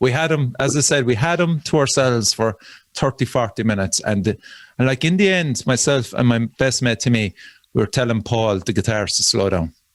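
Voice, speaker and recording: A man with a Cork accent talks at a fairly quick pace in a medium pitch with lively intonation and very even loudness, sounding dry and close with no echo in a very clean recording with a silent background. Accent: Cork Irish. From Ireland, Cork. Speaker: death metal musician. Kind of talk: casual chat.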